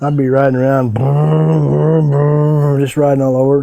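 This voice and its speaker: With a southern Illinois accent, a man speaks at a moderate pace. His medium-pitched voice has a dark, mellow tone. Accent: Midland US, southern Illinois. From US Midwest, southern Illinois. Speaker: veteran adventure motorcycle rider. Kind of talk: interview storytelling. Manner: halting, with fillers and repeats.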